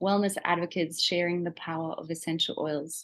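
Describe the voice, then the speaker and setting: Against a quiet background, a woman with a slight Australian accent talks at a medium pitch. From Germany. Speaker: essential oils seller. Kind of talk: webinar presentation. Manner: enthusiastic.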